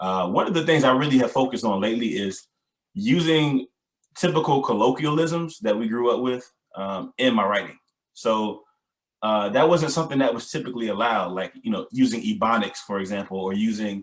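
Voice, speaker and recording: Lively intonation carries speech at a fairly quick pace. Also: man, medium pitch for a man. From US South. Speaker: poet. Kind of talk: panel discussion. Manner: conversational with many filler words.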